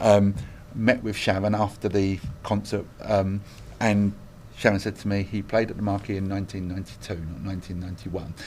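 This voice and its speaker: Speaking in an East London accent, a man moves at a fairly quick pace. His fairly low voice stays monotone and flat. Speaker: hospice chief executive. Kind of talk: interview.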